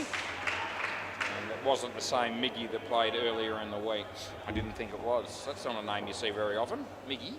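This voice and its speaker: With crowd noise behind him and audible room echo, a man with an Australian accent talks at a moderate pace and medium pitch. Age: 50s. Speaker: indoor cricket commentator. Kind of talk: live commentary. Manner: casual, chatty with frequent hesitations.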